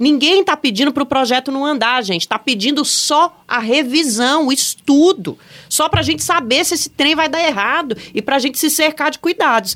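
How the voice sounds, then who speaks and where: A woman's high voice at a fairly quick pace, lively in intonation, with hardly any pauses. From Brasília. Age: 40s. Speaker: podcast host. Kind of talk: casual political chat.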